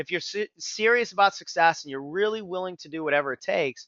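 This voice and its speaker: This man talks at a very fast pace. His intonation is lively. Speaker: business coach. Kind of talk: webinar presentation. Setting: webinar.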